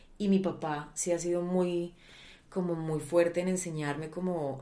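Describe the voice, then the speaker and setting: A woman with a fairly low pitch speaks in a dark, mellow tone. Her intonation is fairly even, and there is audible room echo. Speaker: actress. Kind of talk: interview. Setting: home recording.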